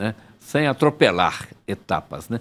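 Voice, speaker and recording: A man is speaking. He goes at a fairly slow pace. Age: 70s. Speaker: sports journalist and radio broadcaster. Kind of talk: interview.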